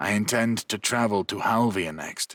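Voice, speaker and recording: Raspy and fairly low, a man's put-on character voice comes at a moderate pace with a dry, close sound and no echo. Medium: read story. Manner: quiet, reserved.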